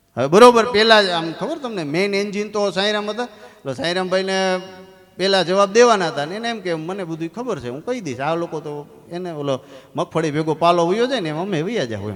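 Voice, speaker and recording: A man talks in an animated tone with a high pitch and lively intonation. Noticeable background noise sits behind him. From Gujarat, India. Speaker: comedian. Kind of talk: stand-up.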